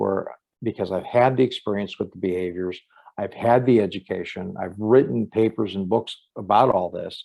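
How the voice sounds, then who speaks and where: A man with an unremarkable speaking voice talks at fairly low pitch and a moderate pace, his intonation fairly even. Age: 60s. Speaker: criminologist and profiler. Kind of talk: interview conversation.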